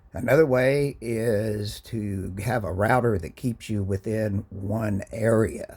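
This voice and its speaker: A man's dark, mellow, somewhat breathy voice. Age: 60s. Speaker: gaming YouTuber. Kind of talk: casual gaming talk to camera. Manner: casual, hesitant with fillers.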